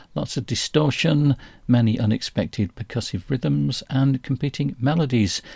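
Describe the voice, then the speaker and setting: A man speaks at a moderate pace with lively intonation and a somewhat breathy sound. The recording is very clean with a silent background, dry and close with no echo. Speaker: jazz radio host. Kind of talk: radio DJ patter: jazz show intros and back-announcements, reading release notes. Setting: radio studio show, podcast.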